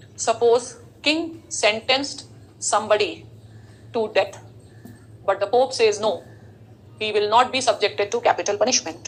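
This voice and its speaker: Fairly high woman's voice at a moderate pace, with long, frequent pauses and noticeable background noise. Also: ordinary pitch variation. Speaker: teacher. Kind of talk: lecture.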